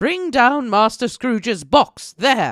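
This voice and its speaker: A man shouting in a put-on character voice, extremely high-pitched and at a fairly slow pace, on a very clean recording with a silent background. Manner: ferocious, shouted.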